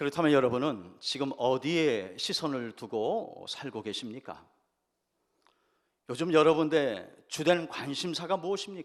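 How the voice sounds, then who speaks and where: Lively intonation marks a normal speaking voice heard against a quiet background. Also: man, fairly high pitch for a man, fairly slow pace. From Jeju Island, Korea. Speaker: pastor. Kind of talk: sermon.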